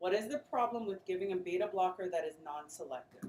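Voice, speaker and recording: A woman with an unremarkable speaking voice talks at a fairly quick pace and medium pitch, her intonation lively. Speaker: nursing pharmacology instructor. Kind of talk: classroom lecture. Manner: interactive call-and-response questioning.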